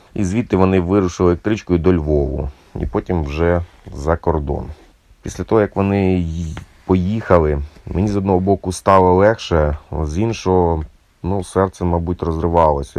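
A man's very deep, low pitch at a moderate pace, with fairly even intonation. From Ukraine, Cherkasy. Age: 40s. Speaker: musician and volunteer soldier. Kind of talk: personal war testimony.

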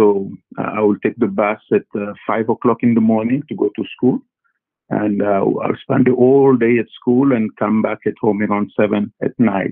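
Delivered at a moderate pace, the speech comes in a French accent with monotone, flat intonation. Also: man, medium pitch for a man. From Congo, Central Africa. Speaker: physician. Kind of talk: interview. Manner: halting, many fillers and repetitions.

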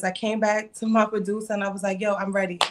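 A woman with a Brooklyn accent speaks at a fairly high pitch. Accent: New York (Brooklyn). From Brooklyn, New York. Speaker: rapper. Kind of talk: casual interview.

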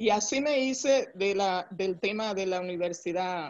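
The woman's speech has ordinary pitch variation. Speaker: human resources executive. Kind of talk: interview.

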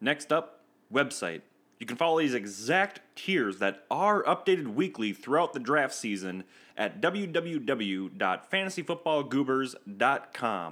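A man with an American accent speaks at a fairly high pitch and a fairly slow pace, his bright, sharp tone making very wide pitch swings on a very clean recording with a silent background. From Minnesota. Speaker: fantasy football podcast host. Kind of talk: solo podcast commentary. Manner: casual.

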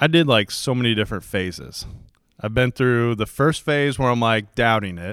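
In a very clean recording with a silent background, a man with a normal speaking voice talks at a moderate pace, at medium pitch and with ordinary pitch variation. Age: 30s. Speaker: podcast co-host. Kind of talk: casual chat.

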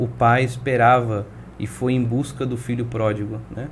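A man's medium-pitched, monotone, flat delivery at a moderate pace, with noticeable background noise and audible room echo. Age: 20s. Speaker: pastor. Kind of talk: testimony.

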